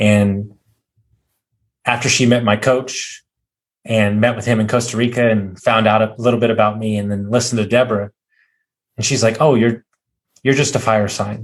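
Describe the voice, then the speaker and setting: Over a very clean recording with a silent background, a man speaks in a flat monotone at a moderate pace, with long, frequent pauses. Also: medium pitch for a man. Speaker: podcast host. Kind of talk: casual interview chat. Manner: loud.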